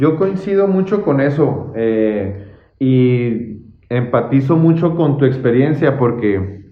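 Amid audible room echo, a medium-pitched man talks at a very slow pace with lively intonation and very even loudness. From Mexico, Chihuahua (Santa Bárbara). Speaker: podcast host. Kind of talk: casual interview. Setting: office visit.

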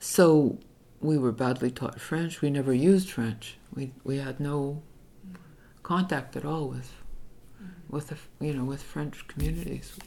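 With vocal fry and a very deep, low pitch, a woman speaks at a fairly slow pace with ordinary pitch variation and long, frequent pauses. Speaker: activist and retired teacher. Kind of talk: oral history interview. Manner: halting, with many fillers and repetitions.

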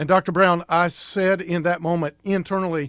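Recorded very cleanly against a silent background, a man with an unremarkable speaking voice talks quickly-ish, at a fairly quick pace and fairly high pitch. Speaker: pastor. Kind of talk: radio interview.

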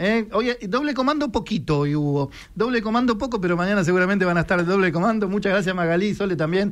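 A man with a Rioplatense accent, very fast and high-pitched, lively in intonation and very even in loudness. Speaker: radio host. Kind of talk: casual chat.

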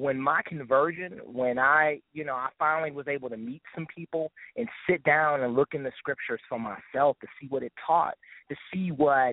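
At a moderate pace, a man with an unremarkable speaking voice talks at a fairly high pitch with ordinary pitch variation. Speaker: gospel hip hop artist. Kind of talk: interview.

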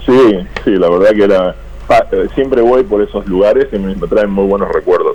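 Moderately paced speech from a man, with noticeable background noise. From Uruguay, Canelones area. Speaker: businessman. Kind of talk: interview. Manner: halting, many repetitions.

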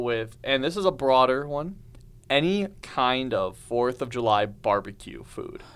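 This man has an ordinary speaking voice at a medium pitch, talking at a fairly slow pace with ordinary pitch variation. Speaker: student podcast host. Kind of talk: casual chat.

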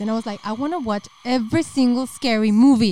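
A woman speaks with a Spanish accent, and the sound is dry and close with no echo. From northern Mexico, Monterrey. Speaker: podcast co-host and YouTuber. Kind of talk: casual chat.

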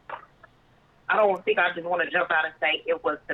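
Her voice is fairly low with an animated tone. The woman speaks at a fairly quick pace with ordinary pitch variation. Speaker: podcast co-host calling in. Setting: phone call from a trip, other women nearby. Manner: loud, animated.

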